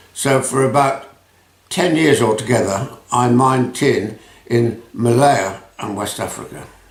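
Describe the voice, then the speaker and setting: Noticeable background noise and audible room echo accompany a man's medium-pitched voice with ordinary pitch variation. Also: fairly slow pace. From England (Rugby area). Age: 80s+. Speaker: retired businessman. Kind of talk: interview.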